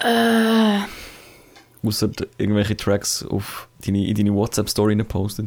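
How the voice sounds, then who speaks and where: At a moderate pace, a man speaks in a fairly low, monotone, flat voice with very even loudness and long, frequent pauses. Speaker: podcast co-host. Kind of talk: casual chat.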